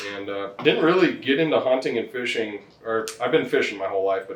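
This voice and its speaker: A man with a strong North Dakota accent talks at a fairly quick pace. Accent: thick northern (North Dakota). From North Dakota, US. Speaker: farmer and hunter. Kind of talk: casual chat. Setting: in-person podcast.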